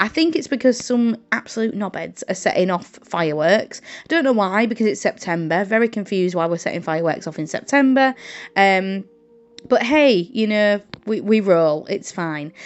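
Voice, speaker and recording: Her voice lively in intonation, a woman with a northern English accent speaks at a medium pitch and moderate pace. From northern England, Hull, Yorkshire. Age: 20s. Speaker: journaling content creator and English teacher. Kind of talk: casual craft vlog chat. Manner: hesitant, many ums and uhs.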